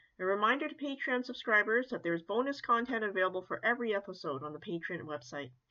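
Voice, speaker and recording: Here a woman speaks at a medium pitch. Her pitch swings very widely. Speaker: podcast host. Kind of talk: interview.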